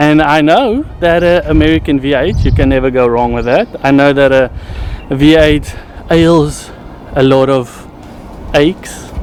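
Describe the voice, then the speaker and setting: Over noticeable background noise, a man with a fairly high pitch and a South African accent speaks at a fairly slow pace. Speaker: car reviewer. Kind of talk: casual car review vlog.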